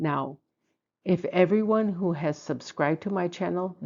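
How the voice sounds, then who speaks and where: A woman speaks in a dark, mellow tone at a moderate pace with ordinary pitch variation against a quiet background. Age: 60s. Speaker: feng shui and BaZi content creator. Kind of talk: casual video monologue. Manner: hesitant, many fillers.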